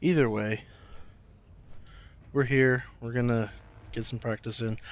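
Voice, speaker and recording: Soft-spoken and flat in intonation, a man talks on a very clean recording with a silent background. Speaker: video game streamer. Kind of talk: gameplay stream commentary. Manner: quiet, soft-spoken.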